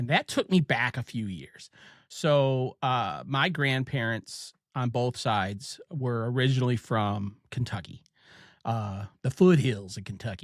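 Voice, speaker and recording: Recorded very cleanly against a silent background, with a dry, close sound and no echo, a man with an Ohio accent talks at a fairly slow pace, medium pitch and ordinary pitch variation. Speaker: podcast host. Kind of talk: casual chat.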